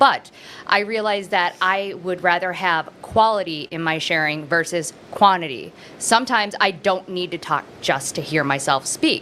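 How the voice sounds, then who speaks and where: This woman's voice sits at a medium pitch, with a bright, sharp tone and ordinary pitch variation. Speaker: person in addiction recovery. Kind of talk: casual chat. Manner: fast.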